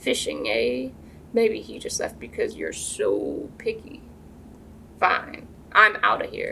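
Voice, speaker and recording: Using a put-on character voice, a woman speaks at a fairly slow pace with long, frequent pauses over clear background noise. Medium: read story. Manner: slurping, sulky.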